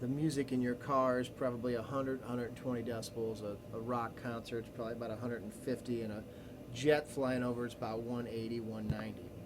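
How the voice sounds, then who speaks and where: A man with a medium pitch speaks in a monotone, flat way at a fairly quick pace. Room echo is audible, and background noise is noticeable. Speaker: teacher. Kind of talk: recorded lecture. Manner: casual, many fillers and restarts.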